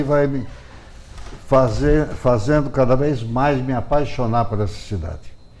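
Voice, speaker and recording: A man speaks at a fairly slow pace with ordinary pitch variation. Room echo is audible in the recording. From Brazil, Piracicaba (São Paulo interior). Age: 70s. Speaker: journalist and writer. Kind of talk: TV interview.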